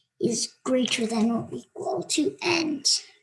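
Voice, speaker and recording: A woman speaks with a high pitch at a fairly slow pace. Her pitch swings very widely. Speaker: coding tutorial youtuber. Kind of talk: tutorial. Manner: hesitant, many fillers.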